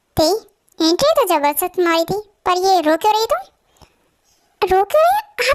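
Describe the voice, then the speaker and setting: A woman uses a squeaky, put-on character voice at an extremely high pitch with lively intonation. Her speech has long, frequent pauses and a dry, close sound with no echo. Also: moderate pace, very even loudness. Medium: fan dub. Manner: bossy, self-assured.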